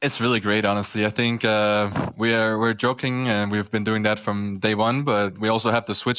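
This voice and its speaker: A man talks at a moderate pace in a fairly low pitch. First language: German. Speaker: professional esports player. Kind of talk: post-match interview.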